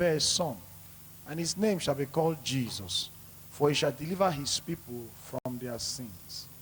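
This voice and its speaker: A man's fairly high-pitched voice with lively intonation against noticeable background noise. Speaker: prayer leader. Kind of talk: church prayer.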